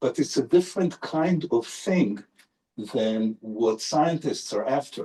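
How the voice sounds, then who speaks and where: The man talks with an Israeli accent. His voice is somewhat breathy, with lively intonation. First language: Hebrew. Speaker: neurolinguist professor, invited lecturer. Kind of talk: Q&A answer after lecture.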